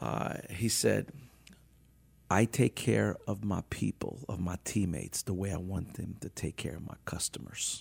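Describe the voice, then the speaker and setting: A man talks at a fairly slow pace in a very deep, low pitch with vocal fry. His pitch swings very widely, and the sound is dry and close with no echo. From New Orleans, Louisiana. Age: 50s. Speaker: business owner and publisher. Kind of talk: interview conversation. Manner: energetic.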